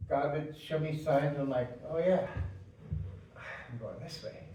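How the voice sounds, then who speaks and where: Audible room echo and noticeable background noise surround this man's voice. He speaks at a moderate pace with fairly even intonation. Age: 60s. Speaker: preacher. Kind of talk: sermon. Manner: halting.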